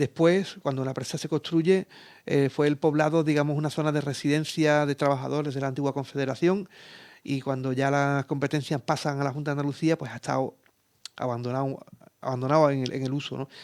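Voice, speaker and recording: The speech comes at a fairly quick pace with fairly even intonation, in a dry, close sound with no echo. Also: man, fairly high pitch for a man, very clean recording, silent background. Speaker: geographer and environmental consultant. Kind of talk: radio interview. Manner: hesitant, many fillers and repetitions.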